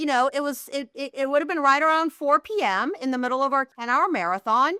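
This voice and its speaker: A woman's raised, projected voice, bright and sharp, at a moderate pace in a dry, close sound with no echo. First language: not English. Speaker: healthcare data executive. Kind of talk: podcast interview.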